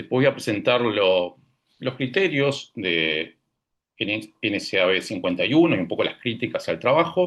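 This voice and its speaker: A man at a medium pitch. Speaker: radiation oncology professor. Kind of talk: scientific presentation.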